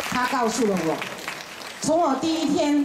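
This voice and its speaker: A woman's high-pitched voice at a fairly slow pace, with lively intonation and crowd noise in the background. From Taiwan. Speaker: baptism candidate giving testimony; candidate. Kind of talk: testimony. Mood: earnest, heartfelt.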